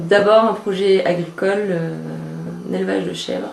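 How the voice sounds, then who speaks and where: A woman speaks at a medium pitch, with noticeable background noise and audible room echo. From France, Auvergne (Cézallier). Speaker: aspiring goat farmer. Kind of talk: interview testimony.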